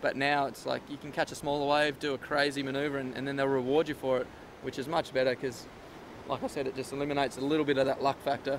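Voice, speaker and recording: Flat and monotone, a man talks at a very fast pace with a fairly high pitch. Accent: Australian. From Australia. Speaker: professional surfer. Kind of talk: interview answer. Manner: casual, hesitant.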